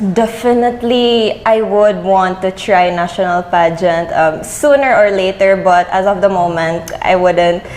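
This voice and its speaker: Over noticeable background noise, a woman with a Visayan Filipino accent speaks at a fairly slow pace with hardly any pauses, her medium pitch showing ordinary variation and her loudness very even. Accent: Filipino (Cebuano) English. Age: young. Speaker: beauty pageant winner. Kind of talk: interview.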